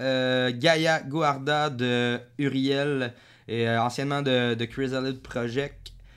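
A man speaks in a Quebec accent. His pace is very slow. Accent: Québécois French. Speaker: podcast host. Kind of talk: casual chat.

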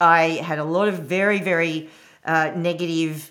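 A woman in an Australian accent at a fairly slow pace. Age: 50s. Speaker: podcast host, women's empowerment coach. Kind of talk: solo podcast monologue.

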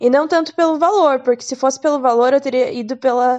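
The woman's voice is high in pitch with ordinary pitch variation. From Curitiba, southern Brazil. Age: 20s. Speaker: podcaster sharing exchange experience. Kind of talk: casual monologue.

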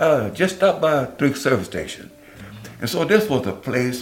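A man speaks in an Oklahoma accent. Noticeable background noise sits behind him. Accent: US South, Oklahoma. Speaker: pastor. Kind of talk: interview.

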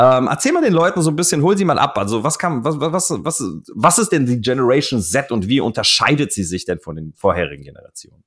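A man speaks with a fairly high pitch and very wide pitch swings. Vocal fry runs through his voice. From Offenbach, Hesse, Germany. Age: 30s. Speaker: podcast host, fitness marketing agency owner. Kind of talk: casual interview chat.

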